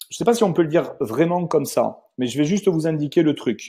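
A man's dark, mellow tone at a moderate pace. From Toulouse, southern France; southern France. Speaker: wealth management adviser; presenter. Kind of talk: webinar presentation. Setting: video conference webinar. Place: office. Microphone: earbuds.

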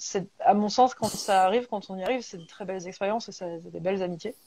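A woman's very fast speech in a dark, mellow tone, with ordinary pitch variation and a dry sound with no echo. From rural France, provincial. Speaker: bookshop host interviewer. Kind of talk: live interview. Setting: video call from home. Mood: warm, friendly. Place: home room. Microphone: earbuds.

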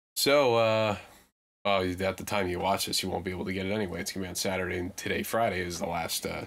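A man speaks at a very fast pace with fairly low pitch. His intonation stays fairly even. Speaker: podcast co-host. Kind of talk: casual chat. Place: home room. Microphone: studio mic.

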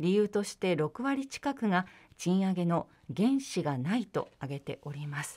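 Against a quiet background, a woman with an ordinary speaking voice talks at a medium pitch and a fairly slow pace. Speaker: radio announcer. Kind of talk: radio co-host chat and reading posts. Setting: radio studio. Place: studio.

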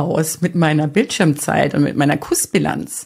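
A woman speaks at a moderate pace in a somewhat breathy voice against a quiet background. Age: 40s. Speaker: digital detox speaker and podcaster; digital detox coach, video podcaster. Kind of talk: podcast monologue. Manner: animated. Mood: warm, cheerful, smiling. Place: studio. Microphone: studio mic.

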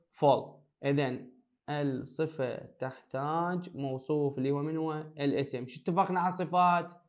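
A man with a Baghdadi accent speaks at a very slow pace in a fairly high pitch, his intonation fairly even but his loudness swinging widely. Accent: Iraqi Arabic (Baghdadi). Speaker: high school English teacher. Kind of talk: lecture.

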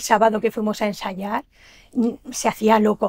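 Her pitch is fairly high. The voice is a woman's. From Valencian Community (Almassora, Castellón); Valencian Community. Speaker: shop owner and event organizer; guest. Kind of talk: TV interview. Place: studio.

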